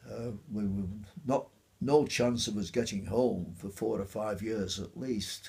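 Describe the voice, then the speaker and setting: Somewhat breathy and dark, mellow in tone, a man with a Yorkshire accent speaks fairly slowly at a fairly low pitch with ordinary pitch variation. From Otley, Yorkshire. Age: 80s+. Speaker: war veteran. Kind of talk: interview answer. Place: home room.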